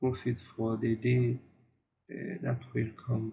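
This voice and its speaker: At a very slow pace, a man talks with a non-native accent. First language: not English. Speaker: online marketing youtuber. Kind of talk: casual tutorial to camera. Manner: halting, many fillers and repeats.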